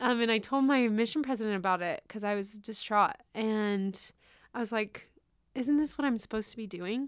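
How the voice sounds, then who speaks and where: A woman's normal speaking voice, fairly high-pitched, in an American accent at a moderate pace. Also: ordinary pitch variation. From California, Riverside County. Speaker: university graduate. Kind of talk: interview.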